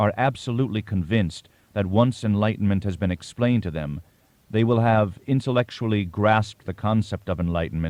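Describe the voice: This is plain reading aloud, with pitch that varies in an ordinary way.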